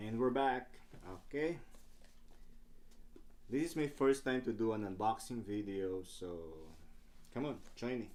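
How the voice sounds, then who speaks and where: Pausing long and often, a man with a non-native accent speaks at a medium pitch with ordinary pitch variation. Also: moderate pace. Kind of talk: casual unboxing talk to camera.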